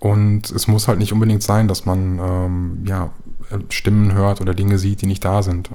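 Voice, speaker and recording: Fairly low male voice over noticeable background noise. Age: 30s. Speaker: patient living with schizophrenia. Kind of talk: interview.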